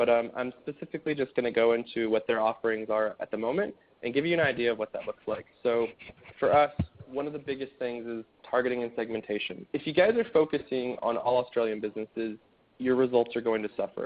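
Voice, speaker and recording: A man rattles off his words very fast. The pitch rises and falls in an ordinary way. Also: medium pitch for a man. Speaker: marketing analyst presenting a webinar. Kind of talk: webinar presentation.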